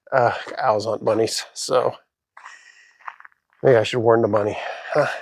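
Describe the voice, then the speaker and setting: Monotone, flat intonation in an American accent at a moderate pace. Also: man, medium pitch for a man. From Houston, Texas. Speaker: hiking vlogger. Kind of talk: casual vlog narration while hiking. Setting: outdoors, desert hiking trail.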